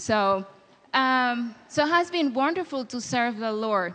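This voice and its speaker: Speaking at a very slow pace with a Spanish accent, a woman uses a fairly high pitch, a bright, sharp tone and very wide pitch swings. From Dominican Republic. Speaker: missionary. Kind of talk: church talk. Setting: church with audience.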